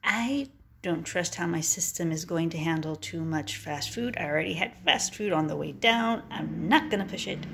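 A woman's fairly low-pitched voice with vocal fry and lively intonation, fairly slow in pace, over light background noise. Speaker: vlogger; traveler vlogger. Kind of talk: casual chat. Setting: motel room. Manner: short bursts, halting. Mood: wry, self-mocking. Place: home room. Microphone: phone near.

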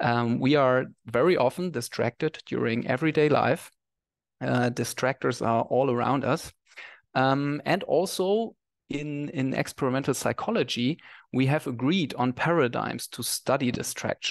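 A man speaks with normal rises and falls in pitch and an even-tempered, moderate speed, with little sound behind him. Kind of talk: lecture. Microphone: headset.

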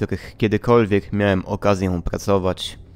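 Speaking at a moderate pace, a man has a fairly low pitch and fairly even intonation. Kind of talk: read horror story narration.

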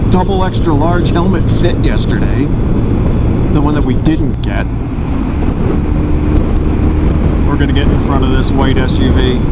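Moderate pace, long and frequent pauses, and loud background noise. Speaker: vlogger. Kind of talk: casual vlog chat. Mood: joking, playful. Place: motorbike. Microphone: helmet.

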